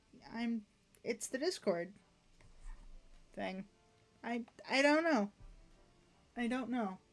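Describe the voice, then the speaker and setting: With music in the background, a woman speaks at a fairly high pitch with lively intonation. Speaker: gaming streamer. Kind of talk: casual chat. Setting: voice chat on a livestream. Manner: stuttering and trailing off. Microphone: mic cutting out, sensitivity adjusted.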